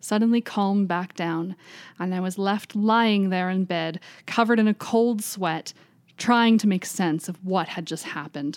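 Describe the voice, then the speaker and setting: In a very clean recording with a silent background and a dry, close sound with no echo, a woman with an unremarkable speaking voice speaks at medium pitch and a moderate pace with ordinary pitch variation. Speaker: library podcast host. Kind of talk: reading aloud a first-person ghost story, told in the narrator's words.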